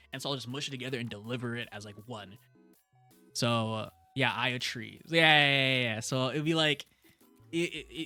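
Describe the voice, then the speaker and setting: With music in the background, a man speaks at a medium pitch and ordinary pitch variation. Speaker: streamer. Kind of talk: casual chat. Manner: fast; stumbling, repeats words.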